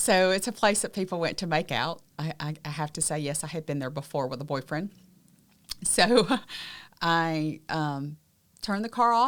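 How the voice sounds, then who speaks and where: Lively intonation runs through speech broken by long, frequent pauses, captured in a very clean recording against a silent background. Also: woman, fairly low pitch for a woman, moderate pace. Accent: Southern US. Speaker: abuse survivor and advocate, podcast co-host. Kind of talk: personal testimony in podcast conversation.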